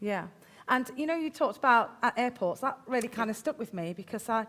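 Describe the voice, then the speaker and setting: A woman talks at a very fast pace with a Midlands accent. Her pitch sits fairly high. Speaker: event host. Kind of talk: casual interview.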